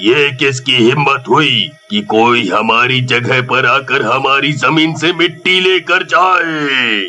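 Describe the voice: A man does a cartoonish character voice at a fairly high pitch. He talks very slowly over faint background music.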